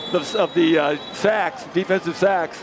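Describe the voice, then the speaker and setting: A man's voice over noticeable background noise. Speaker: color commentator. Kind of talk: live commentary.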